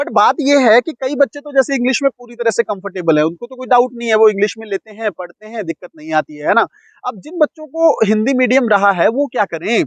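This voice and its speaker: A man with an extremely high pitch speaks with lively intonation and big swings in loudness, hardly pausing, in a dry, close sound with no echo. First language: Punjabi (speaking Hindi). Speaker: UPSC coaching teacher. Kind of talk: lecture. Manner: conversational, explanatory.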